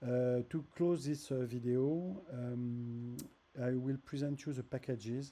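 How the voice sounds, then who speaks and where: With a French accent, a man speaks in a dark, mellow, medium-pitched voice with fairly even intonation. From France. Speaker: app developer. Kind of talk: tutorial. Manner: halting, with many fillers and repeats.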